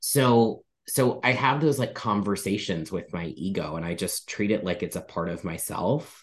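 A man with a fairly low pitch talks at a moderate pace. His intonation is lively, and the background is quiet. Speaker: spiritual medium and minister. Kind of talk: casual interview conversation.

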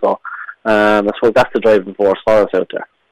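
Very fast and flat, a man with an Irish accent speaks in a fairly low, monotone voice, the sound dry and close with no echo. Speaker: hurler. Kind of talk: radio interview. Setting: phone call.

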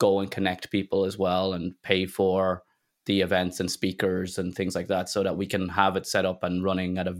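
A man with an Irish accent speaks at a fairly quick pace, his very deep, low voice monotone and flat on a very clean recording with a silent background. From Ireland. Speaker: tech community founder. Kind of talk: interview.

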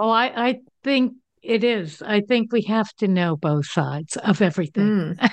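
A woman with an American accent and an unremarkable speaking voice, medium in pitch, with lively intonation, very even loudness and a fairly slow pace, over a quiet background. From New Jersey. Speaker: radio talk show host. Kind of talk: casual interview chat.

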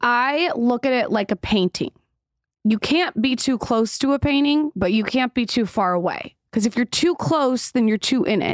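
A woman with a high pitch and lively intonation speaks at a moderate pace with very even loudness, on a very clean recording with a silent background and a dry, close sound with no echo. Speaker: podcast host and content creator. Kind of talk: casual interview conversation.

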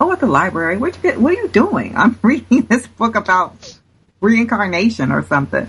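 A woman in an American accent speaks with vocal fry. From Cincinnati, Ohio (US Midwest). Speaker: author and religion scholar. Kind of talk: interview.

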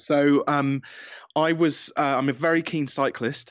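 Against a quiet background, a man with a British accent speaks with fairly even intonation. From England. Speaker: business coach and author. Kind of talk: interview, conversational.

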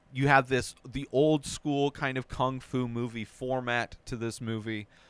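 The speaker is a man with a plain, everyday voice. He uses a medium pitch and a fairly slow pace. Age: 40s. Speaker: film review podcast host. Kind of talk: solo movie review monologue. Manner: casual, with frequent filler words.

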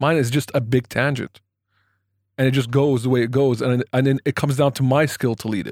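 This man has an unremarkable speaking voice, medium in pitch, with fairly even intonation at a fairly quick pace. The sound is dry and close with no echo, in a very clean recording with a silent background. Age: 30s. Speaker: podcast host. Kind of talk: casual chat.

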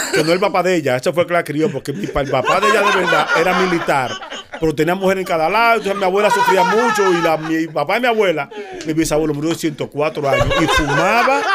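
Against noticeable background noise, a man with a high pitch talks at a very fast pace in an animated tone with ordinary pitch variation. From Dominican Republic. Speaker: comedian and radio personality. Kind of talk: casual chat.

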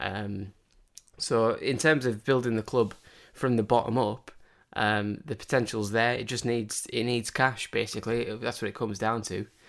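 At a moderate pace, a man speaks with a Cumbrian accent. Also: medium pitch for a man, fairly even intonation. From northern England, Cumbria. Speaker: football fan pundit. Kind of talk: casual chat. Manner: halting.

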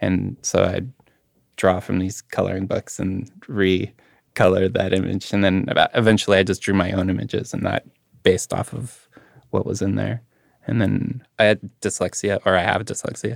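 Speaking with a Manitoban accent, a man with a very deep, low pitch and vocal fry talks at a moderate pace with fairly even intonation, in a dry, close sound with no echo. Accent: Canadian (Manitoba). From Canada, Winnipeg. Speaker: artist. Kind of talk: casual chat.

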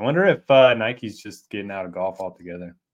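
In a normal speaking voice, a man talks at a fairly quick pace. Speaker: golf DFS co-host. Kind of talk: casual sports betting chat.

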